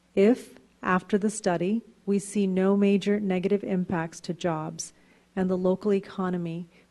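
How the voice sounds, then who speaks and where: Speaking at a moderate pace, a woman with a medium-pitched voice has a dark, mellow tone and a monotone, flat intonation. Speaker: city council vice mayor. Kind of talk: council meeting, reading motions. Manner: formal.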